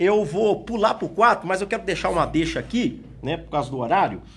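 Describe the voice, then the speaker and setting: A high-pitched man with an Espírito Santo accent and very wide pitch swings. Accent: Espírito Santo accent, sounds like arguing. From Espírito Santo, Brazil. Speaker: pastor and Bible school teacher. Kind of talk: Bible lesson.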